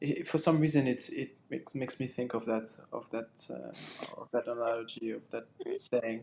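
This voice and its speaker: Delivery comes at a moderate pace. It is in a French accent. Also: man. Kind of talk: casual chat. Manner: halting.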